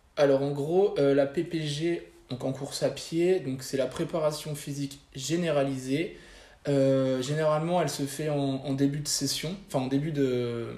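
Over noticeable background noise, a man talks fairly slowly at a fairly high pitch with fairly even intonation. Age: 20s. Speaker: fitness coach. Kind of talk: interview. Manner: halting.

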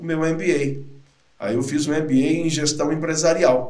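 Audible room echo surrounds a man who talks at a fairly slow pace with fairly even intonation. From interior of São Paulo state, Brazil. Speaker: sales trainer and speaker. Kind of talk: casual interview.

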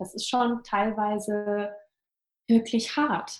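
A woman's medium-pitched voice moves very slowly, her intonation monotone and flat. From Hesse, near Fulda. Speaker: entrepreneur and startup consultant. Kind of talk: interview. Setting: home office.

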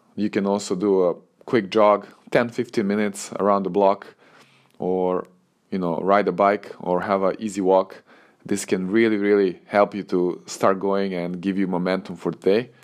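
Over a quiet background, a man with a Serbian accent talks at a moderate pace in a fairly low, monotone, flat voice. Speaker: tennis coach and podcaster. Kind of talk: solo podcast monologue. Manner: relaxed, conversational.

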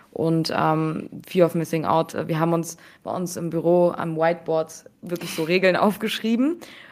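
Fairly even intonation and a moderate pace from a woman with an unremarkable speaking voice at a fairly low pitch. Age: 20s. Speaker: NFT investor and fund co-founder. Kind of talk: casual interview.

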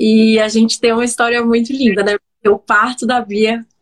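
The woman's fairly high pitch comes through at a fairly slow pace. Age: 30s. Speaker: digital influencer and entrepreneur. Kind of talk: personal storytelling interview. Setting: live video stream. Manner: hesitant with many repetitions.

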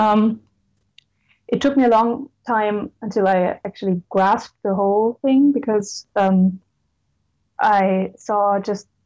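A woman's fairly high-pitched, dark and mellow voice with a German accent and fairly even intonation, against a quiet background. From Lower Austria. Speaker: law student. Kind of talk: interview.

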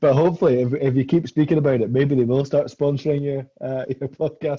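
A man with a Scottish accent speaks at a fairly high pitch and a fairly quick pace. His intonation is fairly even and his voice somewhat breathy. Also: hardly any pauses. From Scotland. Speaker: graduate student. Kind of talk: casual chat.

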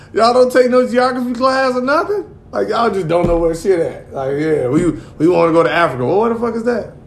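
A high-pitched man with an American accent talks at a very fast pace in an animated tone with very wide pitch swings. Audible room echo and noticeable background noise fill the recording. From Gary, Indiana. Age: 40s. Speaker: podcast co-host. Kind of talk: casual chat.

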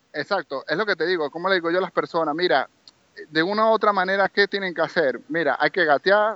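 This man has a high-pitched voice with ordinary pitch variation. He talks at a fairly quick pace. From Venezuela, Maracaibo (Zulia). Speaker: property manager, Venezuelan emigrant. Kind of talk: interview.

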